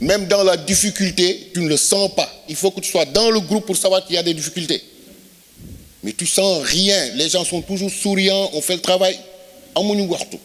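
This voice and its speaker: Someone with a Senegalese accent speaks at a moderate pace with fairly even intonation. Noticeable background noise is present. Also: man, high pitch for a man. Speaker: film crew member. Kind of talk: speech at film event. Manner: halting.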